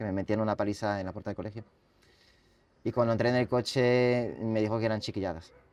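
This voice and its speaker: The man talks at a very fast pace. His pitch is medium, his intonation monotone and flat. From France, then Catalonia. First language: French (speaking Spanish). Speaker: writer and bullying survivor. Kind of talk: interview testimony. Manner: halting.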